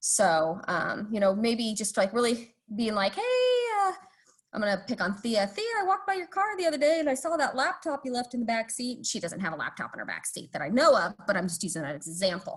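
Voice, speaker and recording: A woman speaks at a very fast pace in a fairly high, somewhat breathy voice, her pitch swinging very widely. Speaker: police community engagement specialist. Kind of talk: online presentation. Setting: video call.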